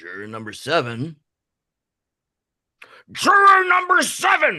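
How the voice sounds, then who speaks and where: Here a man speaks fairly slowly. He is using a put-on character voice. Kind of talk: musical theatre reading. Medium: stage play. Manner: formal, stern.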